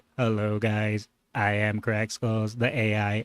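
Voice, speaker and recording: A man puts on a robotic character voice, fairly low in pitch. His intonation is monotone and flat, and he goes at a fairly slow pace. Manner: retro robot, 1970s or 80s style.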